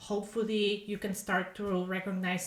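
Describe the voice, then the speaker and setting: Moderate-paced speech from a woman with a medium pitch, noticeable background noise behind her. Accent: non-native. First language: Polish. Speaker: podcast host and author. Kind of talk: casual podcast monologue. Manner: halting, with fillers and repeated words.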